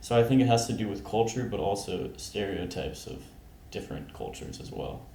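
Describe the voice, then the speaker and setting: A man with an American accent at a medium pitch, fairly quick pace, fairly even intonation and big swings in loudness, amid noticeable background noise and audible room echo. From US South, North Carolina. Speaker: podcast guest. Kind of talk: casual discussion.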